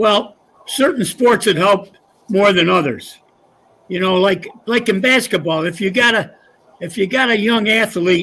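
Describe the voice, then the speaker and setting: In an American accent, a man with a high pitch projects a raised voice with a bright, sharp tone. He talks at a moderate pace, and his pitch varies in an ordinary way. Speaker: retired high school coach. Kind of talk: casual interview. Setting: live show at golf club.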